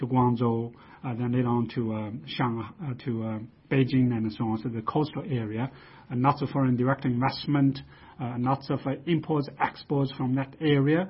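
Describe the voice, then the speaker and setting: A man with a medium-pitched, somewhat breathy voice talks at a moderate pace, his pitch varying in an ordinary way. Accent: Chinese. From China. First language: Chinese. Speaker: research institute director, economist. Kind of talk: interview. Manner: hesitant, many fillers.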